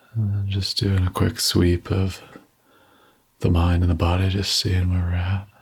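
The speaker's somewhat breathy voice stays monotone and flat at a moderate pace, broken by long, frequent pauses. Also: man, very deep, low pitch for a man. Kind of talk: guided meditation.

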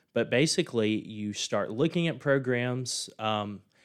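A man with a Mississippi accent speaks at a fairly slow pace. The recording is very clean, with a silent background. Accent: Southern US (Mississippi). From US South, rural southern Mississippi near Laurel. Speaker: finance professor. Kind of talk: interview.

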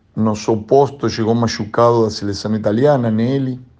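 In a Spanish accent, the speaker talks at a fairly slow pace with a dark, mellow tone. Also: man. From Argentina, Buenos Aires. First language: Spanish (speaking Portuguese). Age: 50s. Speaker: volleyball coach. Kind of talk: interview. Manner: halting.

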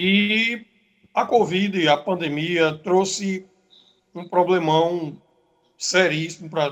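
This man's voice is high in pitch. Its pitch variation is ordinary. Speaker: samba school league president. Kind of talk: radio interview. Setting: remote call into radio show.

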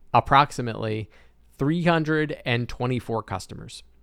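This man's pitch varies in an ordinary way. It sits at a medium level. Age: 30s. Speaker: podcast host and online business coach. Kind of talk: solo monologue podcast. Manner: casual, filler-heavy.

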